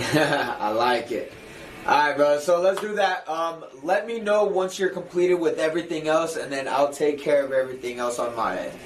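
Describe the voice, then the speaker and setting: A fairly high-pitched man with audible room echo and noticeable background noise. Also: ordinary pitch variation, moderate pace. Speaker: livestreamer working a sales job. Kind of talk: casual chat. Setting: office. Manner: loud; animated.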